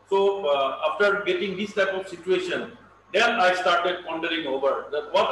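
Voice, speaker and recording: There is audible room echo and light background noise as a man talks at a moderate pace with high pitch. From Assam, India. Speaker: veterinarian, elephant expert; lecturer on elephant breeding. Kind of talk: lecture. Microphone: video call.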